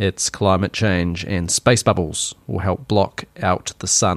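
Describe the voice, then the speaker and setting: A man with a New Zealand accent speaks in a fairly even intonation, his voice dry and close with no echo on a very clean recording against a silent background. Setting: home recording with vent noise. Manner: opinionated.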